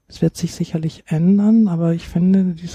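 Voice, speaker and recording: A woman speaks in a somewhat breathy, fairly low voice with a dark, mellow tone and monotone, flat intonation, the sound dry and close with no echo. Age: 60s. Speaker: grief counselor. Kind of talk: interview.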